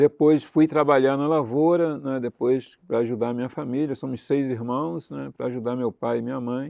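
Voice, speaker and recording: Over a quiet background, a man with a dark, mellow tone speaks at a medium pitch and moderate pace with fairly even intonation, the sound dry and close with no echo. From Brazil, Campos dos Goytacazes (Rio de Janeiro state). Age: 70s. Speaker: retired oil worker and union leader. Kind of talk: interview.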